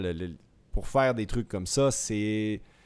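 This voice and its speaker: A man's fairly low-pitched voice, a normal speaking voice, at a moderate pace with ordinary pitch variation. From Quebec, Saguenay. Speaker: professional cyclist and co-host. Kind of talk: interview.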